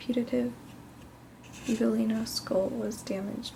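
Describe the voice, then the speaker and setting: Over noticeable background noise, a soft-spoken woman whispers at a fairly slow pace. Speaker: ASMR artist and drawing teacher. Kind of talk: ASMR drawing lesson. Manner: soft-spoken, whispered.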